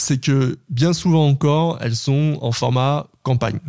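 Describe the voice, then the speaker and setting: Dark and mellow, a man's voice sits at a medium pitch with ordinary pitch variation. He speaks at a fairly slow pace. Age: 30s. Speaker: podcast platform founder. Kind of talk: interview.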